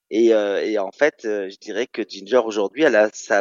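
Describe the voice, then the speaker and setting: A man with an unremarkable speaking voice moves fairly slowly, his pitch varying in an ordinary way. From Normandy, France (Caen). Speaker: drag queen. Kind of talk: radio interview.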